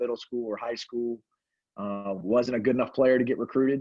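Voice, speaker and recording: A man's medium-pitched voice, fairly quick in pace and fairly even in intonation. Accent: Southern US. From upstate South Carolina. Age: 40s. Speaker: basketball coach. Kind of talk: panel discussion.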